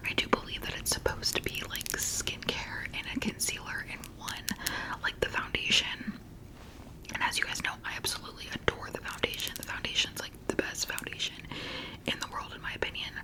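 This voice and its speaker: A woman whispers at a fairly quick pace. Noticeable background noise sits behind her. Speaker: ASMR creator. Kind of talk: casual product review talk to camera.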